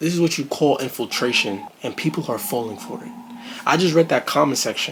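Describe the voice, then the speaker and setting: Over noticeable background noise, an animated man with a New York accent speaks at a fairly high pitch, his voice making very wide pitch swings. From Brooklyn, New York. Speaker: reaction video creator. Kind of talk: video reaction commentary.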